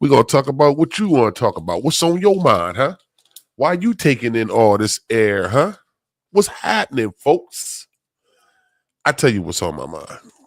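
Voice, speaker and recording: A man's fairly high voice with vocal fry, very wide pitch swings, a moderate pace and long, frequent pauses. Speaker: podcast host. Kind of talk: casual chat. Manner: casual, animated.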